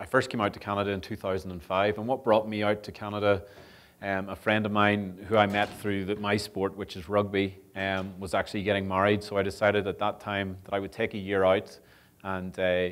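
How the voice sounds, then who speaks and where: The speech comes at a fairly quick pace with monotone, flat intonation in a Northern Irish accent. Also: man, fairly low pitch for a man. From Northern Ireland. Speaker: sport development officer and rugby coach. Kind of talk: public talk. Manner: hesitant with many fillers.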